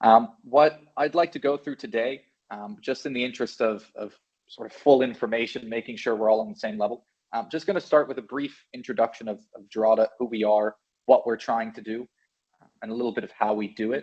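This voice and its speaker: This man has a medium-pitched voice and an American accent. He talks at a fairly quick pace with ordinary pitch variation and big swings in loudness. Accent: sounds American. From Belgium. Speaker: software channel manager. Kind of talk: webinar presentation. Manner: casual, upbeat.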